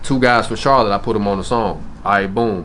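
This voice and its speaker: A man with a Memphis accent speaks at a moderate pace in a fairly low pitch. His intonation stays fairly even, and the room echo is audible. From US South, Memphis. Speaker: rapper. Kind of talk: interview. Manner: casual, slangy.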